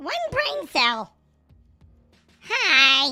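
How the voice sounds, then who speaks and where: A female-sounding voice performs a put-on character voice, pitched high. Faint music plays in the background. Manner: dim, cheerful.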